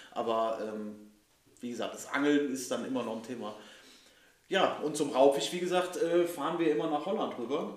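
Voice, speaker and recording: Man at a fairly high pitch with ordinary pitch variation and moderate pace, over noticeable background noise and audible room echo. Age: 30s. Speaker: podcast host, angler. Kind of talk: casual chat. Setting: club house.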